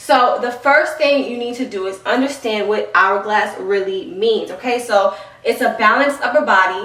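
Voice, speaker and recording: Animated in tone, a woman talks with a New York accent and ordinary pitch variation. Audible room echo and noticeable background noise surround her voice. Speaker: fitness trainer and youtuber. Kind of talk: tutorial. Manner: fast.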